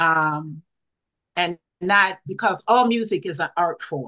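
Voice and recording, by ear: Speaking slowly with an American accent, a woman uses a fairly low pitch, ordinary pitch variation and a bright, sharp tone.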